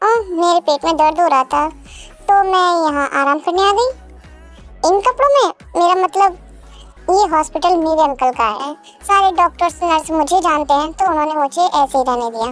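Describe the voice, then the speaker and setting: A woman uses a put-on character voice at an extremely high pitch, moving at a moderate pace with lively intonation over faint music in the background. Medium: read story. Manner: teasing, affectionate.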